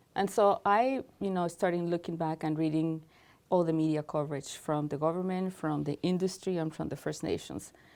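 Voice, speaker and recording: A woman's fairly low-pitched voice with a non-native accent, at a moderate pace with ordinary pitch variation, on a very clean recording with a silent background. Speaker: cultural integration specialist. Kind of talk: interview.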